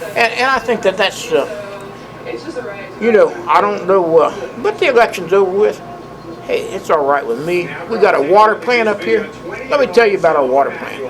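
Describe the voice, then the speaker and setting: A man with a Southern US accent, high pitch and lively intonation, at a moderate pace over noticeable background noise. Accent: Southern US (Georgia). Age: 60s. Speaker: former city councilman and mayor. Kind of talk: police interview. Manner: halting, many fillers and repeats.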